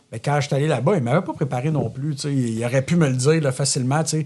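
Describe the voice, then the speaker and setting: A dark, mellow tone in a Quebec accent at a very fast pace, with fairly even intonation and a quiet background. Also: man. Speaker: entrepreneur. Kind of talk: podcast interview. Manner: loud.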